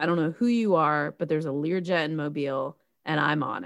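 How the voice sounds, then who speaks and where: Someone with an American accent speaks at a fairly quick pace in a very clean recording with a silent background. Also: woman. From Tennessee. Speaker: podcast co-host. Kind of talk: casual chat about movie.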